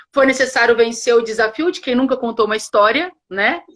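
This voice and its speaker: Here a woman speaks in a fairly high pitch. Her tone is animated. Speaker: educator and teacher trainer, co-founder. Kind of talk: live online conversation. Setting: live stream. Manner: fast.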